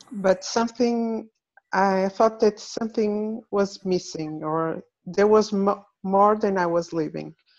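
In a Portuguese accent, a woman speaks at a very slow pace with fairly even intonation against a quiet background. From Portugal. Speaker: workshop participant, engineer. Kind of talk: personal testimony. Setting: video call from a farm. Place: home room.

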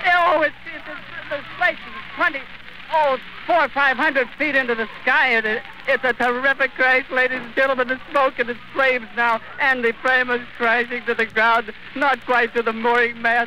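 Projecting a raised voice at an extremely high pitch, a man keeps his intonation fairly even, with a dry, echo-free sound and light background noise. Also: moderate pace. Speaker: radio reporter giving live eyewitness broadcast. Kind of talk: live radio news report. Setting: vintage 1930s broadcast recording. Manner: emotional, distressed, breaking voice. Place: open country. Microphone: old recording.

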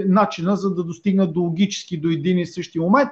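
A man talks against a quiet background. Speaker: channel host, commentator. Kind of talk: commentary. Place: home room.

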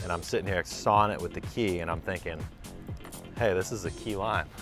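A man speaks at a fairly quick pace in a very deep, low pitch with fairly even intonation. Clear music plays in the background, and the sound is dry with no echo. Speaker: prank video creator. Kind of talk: casual prank chat. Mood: playful, joking. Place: gym.

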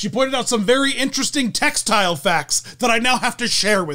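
With lively intonation, a man talks over a quiet background. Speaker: video host. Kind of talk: casual vlog commentary.

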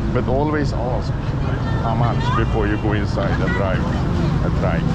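A male speaker at a moderate pace, with loud background noise. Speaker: travel vlogger. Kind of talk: casual vlog commentary. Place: street. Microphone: phone near.

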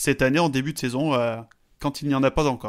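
In a very clean recording with a silent background, a man speaks at a fairly quick pace and medium pitch with monotone, flat intonation. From French mountains. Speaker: podcast co-host, statistics. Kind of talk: casual chat.

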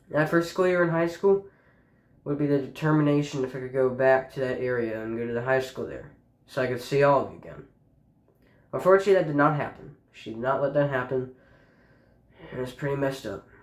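Against a quiet background with audible room echo, a man talks very fast, with ordinary pitch variation and big swings in loudness. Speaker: high school student vlogger. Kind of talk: casual personal account to camera. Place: home room. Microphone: phone near.

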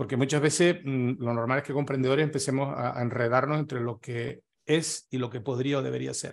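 A man speaks at a moderate pace with hardly any pauses. His intonation is fairly even. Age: 60s. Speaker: retired business consultant and workshop speaker; speaker. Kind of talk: workshop talk. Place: home room. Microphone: webcam.

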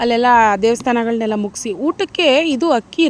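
A woman with a fairly high pitch speaks with lively intonation as noticeable background noise carries on behind her. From Mysore, Karnataka, India. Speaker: YouTube vlogger. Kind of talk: travel vlog narration.

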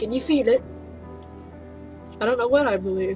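A woman at a fairly quick pace, with music in the background. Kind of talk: casual let's-play commentary. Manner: softer and quieter than normal, reading game text aloud.

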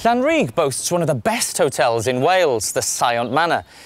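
This man talks at a moderate pace in a fairly high pitch, his pitch swinging very widely while his loudness stays very even, over noticeable background noise. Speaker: TV and radio presenter. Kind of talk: TV travel programme presenting.

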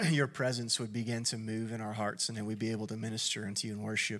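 Faint music runs underneath. Over it, a man speaks at a very fast pace. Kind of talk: opening prayer. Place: stage. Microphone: handheld.

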